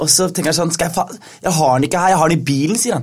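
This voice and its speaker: His pace is very fast. This man's voice is fairly high-pitched. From foreign-born, grew up in Norway. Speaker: stand-up comedian. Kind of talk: casual chat. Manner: animated.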